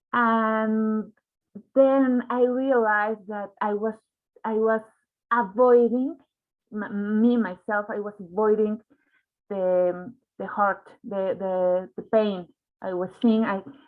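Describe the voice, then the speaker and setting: A woman with a Spanish accent talks at a very slow pace and a fairly high pitch, using fairly even intonation and long, frequent pauses. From Mexico. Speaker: journalist. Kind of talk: panel discussion. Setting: online livestream. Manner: halting, many repetitions.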